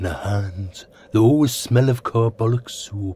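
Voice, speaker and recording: A man's put-on character voice at medium pitch and moderate pace. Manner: dreamy, gushing.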